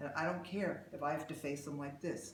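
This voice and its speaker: A man at a moderate pace, ordinary pitch variation, audible room echo and noticeable background noise. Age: 60s. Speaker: emotional release therapist. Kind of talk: workshop talk with live demonstration. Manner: conversational, rambling delivery with fillers.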